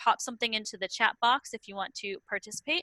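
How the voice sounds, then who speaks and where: A woman speaks in a bright, sharp tone. The sound is dry and close, with no echo. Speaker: online teaching webinar presenter. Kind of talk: lecture. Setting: video call. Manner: fast.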